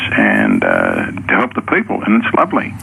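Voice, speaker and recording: Through noticeable background noise, a man speaks with an Australian accent. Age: 70s. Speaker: Vietnam veteran, caller. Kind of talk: radio call-in chat. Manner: halting.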